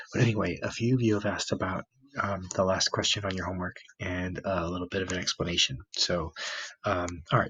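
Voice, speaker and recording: A man whispers at a very fast pace. His voice is quiet. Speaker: math teacher. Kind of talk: classroom math explanation. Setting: home, recorded near a sleeping child. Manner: whispered, quiet.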